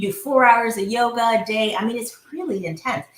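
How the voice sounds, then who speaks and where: A woman's animated voice at a fairly quick pace, with ordinary pitch variation. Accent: American. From India. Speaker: entrepreneur and visionary coach. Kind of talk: casual interview conversation. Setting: podcast recording.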